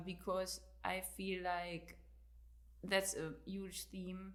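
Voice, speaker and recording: In a German accent, the speaker's voice carries an audible room echo. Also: woman. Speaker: author and fitness coach. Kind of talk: interview. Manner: halting.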